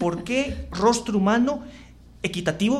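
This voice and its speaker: Lively intonation marks this man's fairly slow speech. Room echo is audible. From Costa Rica, Curridabat. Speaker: radio host. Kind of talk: radio interview.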